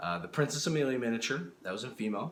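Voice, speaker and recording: Audible room echo around a man's speech, full of very wide pitch swings. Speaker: miniature sculptor and YouTuber. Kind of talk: casual vlog update. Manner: halting, many fillers and restarts.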